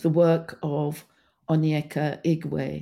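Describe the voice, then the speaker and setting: On a very clean recording with a silent background, a woman speaks with a dark, mellow tone at a very deep, low pitch. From Guyana, then London. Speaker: film curator and archivist. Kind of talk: interview. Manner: halting; rambling.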